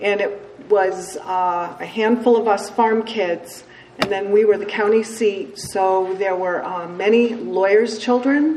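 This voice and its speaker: At a fairly slow pace, a woman speaks with an American accent amid noticeable background noise and audible room echo. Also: medium pitch for a woman, ordinary pitch variation. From upstate New York (Cooperstown). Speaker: recovering alcoholic, AA speaker. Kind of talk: testimony. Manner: casual, many fillers.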